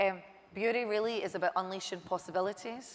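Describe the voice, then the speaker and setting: Very fast speech from a woman with medium pitch and fairly even intonation. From Scotland. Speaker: marketing executive. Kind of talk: interview. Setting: stage with audience.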